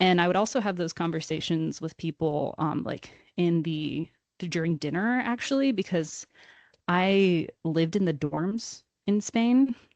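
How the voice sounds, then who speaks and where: With an unremarkable speaking voice, a woman with an American accent talks at a fairly slow pace and fairly low pitch, the sound dry and close with no echo against a quiet background. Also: lively intonation. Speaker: university student. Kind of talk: casual chat.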